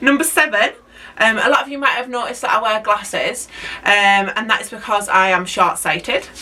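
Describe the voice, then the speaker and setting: A woman's fairly high-pitched voice against noticeable background noise. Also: ordinary pitch variation, fairly quick pace. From northern England, Hull. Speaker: allotment vlogger and teacher. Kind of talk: casual vlog talk to camera. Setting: outdoors at allotment. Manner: hesitant, many ums.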